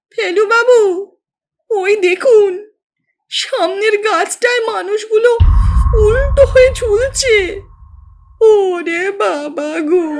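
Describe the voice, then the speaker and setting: Extremely high and shaky, this put-on character voice is clearly an act. It creeps along at a very slow pace. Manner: frightened, trembling.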